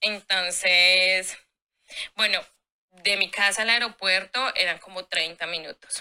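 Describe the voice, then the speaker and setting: A woman with a bright, sharp tone, very slow pace, fairly even intonation, and long, frequent pauses. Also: medium pitch for a woman. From Colombia. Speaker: au pair. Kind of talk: casual chat.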